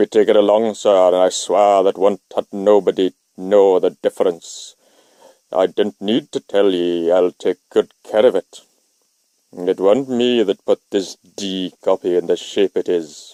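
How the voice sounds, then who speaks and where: A man puts on a character voice with a New England accent, resonant and fairly low-pitched, speaking at a moderate pace. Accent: rustic New England dialect. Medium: read story. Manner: blunt, crafty.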